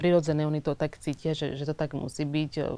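The voice has a dark, mellow tone and a Portuguese accent. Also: woman. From Angola. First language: Portuguese (speaking Slovak). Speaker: actress. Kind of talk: interview. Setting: studio.

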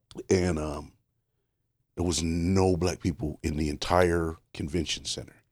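In a very clean recording with a silent background, a man with an American accent speaks fairly slowly in a very deep, low, monotone voice with flat intonation. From Richmond, Indiana. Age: 50s. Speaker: stand-up comedian. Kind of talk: casual chat. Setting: studio.

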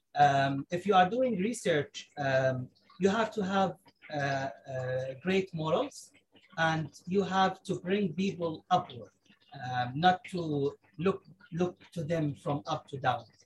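A man with an Arabic accent speaks at a very slow pace, with long, frequent pauses. His pitch is high and his intonation lively. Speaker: engineer and space researcher. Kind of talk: casual chat. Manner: halting.

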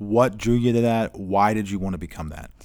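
A man with an ordinary speaking voice talks at a fairly low pitch. His intonation is fairly even and his pace moderate. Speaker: podcast host. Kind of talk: interview. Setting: church.

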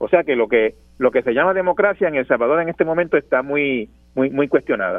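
A man talks at a fairly quick pace in a fairly high pitch, his intonation lively, with music playing in the background. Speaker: journalist and columnist. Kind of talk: radio interview.

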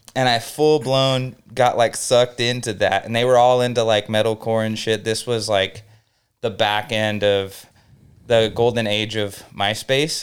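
This man has a plain, everyday voice at medium pitch. He speaks fairly slowly with fairly even intonation. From Southern California, Inland Empire (Norco). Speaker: music studio owner. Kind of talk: casual chat.

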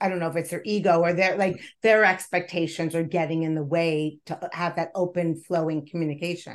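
With a plain, everyday voice, a woman talks at a moderate pace in a fairly low pitch and fairly even intonation. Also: quiet background. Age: 50s. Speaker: wellness podcast host and nonprofit founder. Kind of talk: interview.

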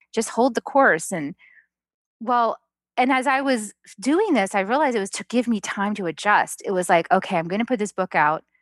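A woman's fairly high voice, a plain, everyday voice, at a fairly quick pace with lively intonation, in a dry, close sound with no echo. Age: 50s. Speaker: author and spiritual guide. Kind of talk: interview.

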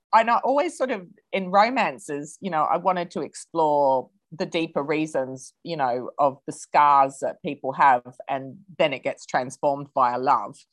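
Lively in intonation, a woman with an Australian accent and a very deep, low pitch talks at a moderate pace. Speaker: novelist. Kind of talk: interview.

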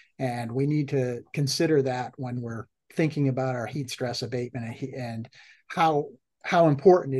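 There's a man with an American accent speaking in a normal speaking voice at medium pitch. He keeps a moderate pace and fairly even intonation over a quiet background. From US Northeast, Massachusetts. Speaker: dairy science professor. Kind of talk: interview.

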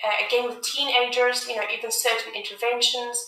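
High-pitched female voice in a room with audible echo. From South Africa. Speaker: music therapist and army veteran. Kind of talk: interview.

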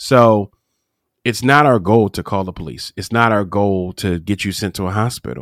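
An ordinary speaking voice from a man, fairly low in pitch with ordinary pitch variation, at a moderate pace, on a very clean recording with a silent background and a dry, close sound with no echo. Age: 40s. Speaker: mindset and business coach. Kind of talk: interview.

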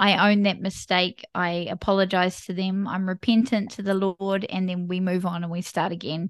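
A woman's medium-pitched voice with a New Zealand accent at a moderate pace, dry and close with no echo, over a quiet background. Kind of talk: casual interview chat.

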